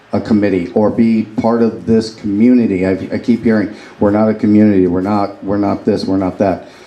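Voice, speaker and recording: With noticeable noise behind him, a man speaks at a moderate pace and a medium pitch. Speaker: audience member, military veteran. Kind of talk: audience question. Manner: loud.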